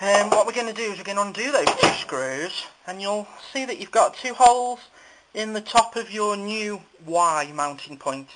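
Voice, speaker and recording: A man talks at a moderate speed through loud background noise. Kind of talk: tutorial. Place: workshop. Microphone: phone near.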